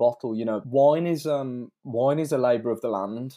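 Recorded very cleanly against a silent background, a man with a British accent speaks at a medium pitch in a dark, mellow tone with ordinary pitch variation. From UK. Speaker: wine blogger and engineer. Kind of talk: casual interview. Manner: halting, repeats words.

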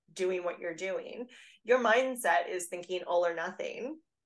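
A woman with an ordinary speaking voice, medium in pitch, with ordinary pitch variation at a moderate pace. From Canada. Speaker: fitness coach. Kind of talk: interview.

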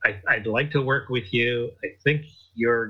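A man with a Canadian accent has a plain, everyday voice, speaking at a medium pitch and a moderate pace with fairly even intonation. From Canada. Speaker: clothing company co-founder. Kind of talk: interview.

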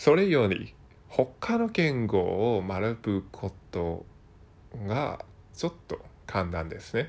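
A man speaks at a very slow pace, with long, frequent pauses. His pitch makes very wide swings. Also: medium pitch for a man. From Hong Kong. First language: Cantonese (speaking Japanese). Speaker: Japanese learner podcaster. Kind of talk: casual monologue. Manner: halting, many fillers.

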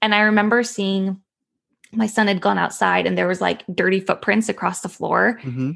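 Against a quiet background, a woman with a Californian accent speaks at a moderate pace. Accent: Californian Valley girl sound. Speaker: school social worker. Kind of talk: casual interview. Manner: frequent likes and ums.

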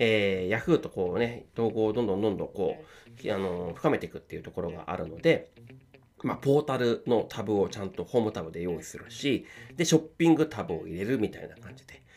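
Talking at a fairly quick pace, a man with a fairly low pitch shows very wide pitch swings and big swings in loudness. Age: 40s. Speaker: podcast host. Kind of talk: casual solo talk. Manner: filler-heavy, polite.

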